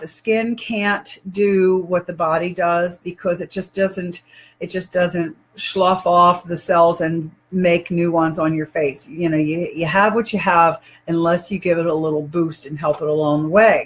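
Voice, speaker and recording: Her voice somewhat breathy, a woman speaks at a fairly slow pace and a fairly low pitch. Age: 60s. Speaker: online health and wellness presenter. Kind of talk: product demonstration video. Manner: casual, conversational with fillers.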